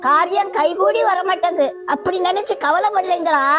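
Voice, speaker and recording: Music plays in the background as a woman speaks with an extremely high pitch. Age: old. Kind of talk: sermon.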